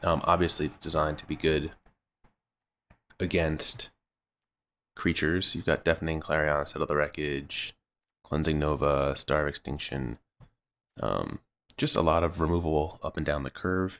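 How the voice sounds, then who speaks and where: This man's voice is very deep and low, with vocal fry and fairly even intonation at a moderate pace. Long, frequent pauses break up his speech on a very clean recording with a silent background. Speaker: gaming video creator. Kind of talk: gameplay commentary. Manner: casual, hesitant with fillers.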